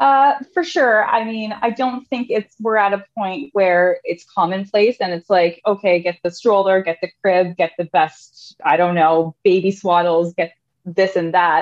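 In an ordinary speaking voice with a Canadian accent, a woman talks at a fairly slow pace and medium pitch, with ordinary pitch variation and hardly any pauses. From Canada, Thunder Bay, Ontario. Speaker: core and pelvic floor fitness specialist. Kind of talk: casual interview.

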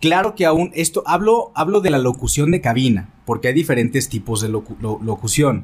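Hardly any pauses break up this man's speech at a moderate pace. His somewhat breathy voice sits at a fairly high pitch with very wide pitch swings. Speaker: radio host and content creator. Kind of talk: casual chat. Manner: trained broadcaster modulation.

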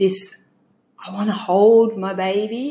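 At a very slow pace, a woman with a medium pitch speaks in an Australian accent. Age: 40s. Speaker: bereaved mother sharing her miscarriage story. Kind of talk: testimony.

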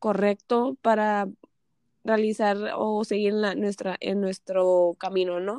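Recorded with a dry, close sound and no echo, a woman speaks at a fairly high pitch. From Mexico, Tijuana. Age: 20s. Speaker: accountant. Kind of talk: interview testimony. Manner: halting.

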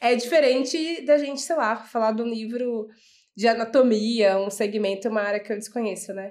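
A woman speaks at a moderate pace in an ordinary speaking voice with a fairly high pitch. The recording is very clean, with a silent background. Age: young. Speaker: entrepreneur. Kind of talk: casual chat.

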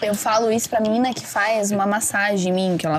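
Noticeable background noise sits behind the voice. A woman speaks at a medium pitch with fairly even intonation. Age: 20s. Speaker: astrologer and tarot reader. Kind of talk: casual chat.

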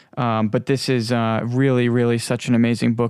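In a New York accent, a man speaks at a moderate pace and medium pitch with monotone, flat intonation, in a very clean recording with a silent background and a dry, close sound with no echo. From Long Island, New York. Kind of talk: religious teaching monologue. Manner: halting, many fillers.

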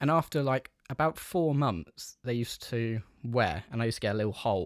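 Spoken with a London accent at a moderate pace and ordinary pitch variation, the voice sits in a very clean recording with a silent background and a dry, close sound with no echo. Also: man. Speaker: podcast host. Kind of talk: casual chat.

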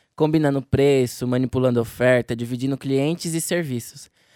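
A man's normal speaking voice at a moderate pace, ordinary pitch variation, dry, close sound with no echo. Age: young. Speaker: trainee journalist podcast host. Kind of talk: scripted narration.

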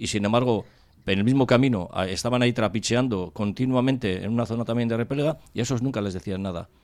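A man's very fast speech at medium pitch, with ordinary pitch variation. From Spain, Cáceres (Extremadura). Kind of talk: casual radio panel discussion.

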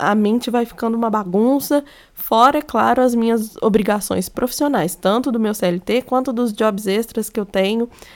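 Pitch shifts in an ordinary way. The pace stays moderate. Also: woman. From Minas Gerais, Brazil. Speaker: podcaster. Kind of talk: personal monologue. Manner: casual, conversational.

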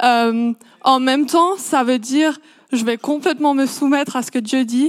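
A woman speaks at a high pitch with ordinary pitch variation, in a dry, close sound with no echo. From grew up abroad in a missionary family, Swiss by origin. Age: 20s. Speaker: coffee shop worker. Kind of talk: church interview testimony.

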